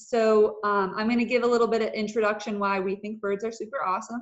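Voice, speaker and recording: A woman talks with fairly even intonation. The background is quiet. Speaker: presenter. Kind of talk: webinar presentation. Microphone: video call.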